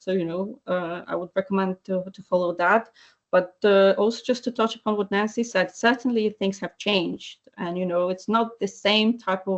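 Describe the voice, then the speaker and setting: A woman with a Polish accent talks at a moderate pace with hardly any pauses. Her medium-pitched voice keeps fairly even intonation. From Poland. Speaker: animal welfare advocate. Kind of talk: webinar panel discussion. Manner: halting, many repetitions and fillers.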